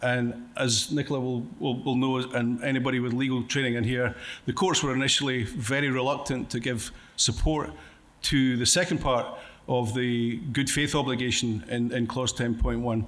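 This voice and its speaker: A man with a Scottish accent speaks in a medium-pitched voice, with fairly even intonation and very even loudness, in a room with audible echo. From Scotland. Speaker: conference speaker, contract coach. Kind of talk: conference presentation. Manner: fast.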